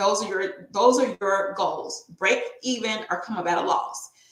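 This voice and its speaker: Audible room echo carries the voice of a woman with an American accent and medium pitch, speaking at a fairly slow pace with ordinary pitch variation. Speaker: tax and bookkeeping professional hosting a business webinar. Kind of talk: webinar presentation.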